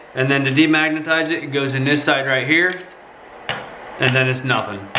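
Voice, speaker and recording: A man speaks in a monotone with flat intonation. Noticeable background noise and audible room echo fill the recording. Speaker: tool reviewer, YouTuber. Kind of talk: casual product review. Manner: casual with many fillers.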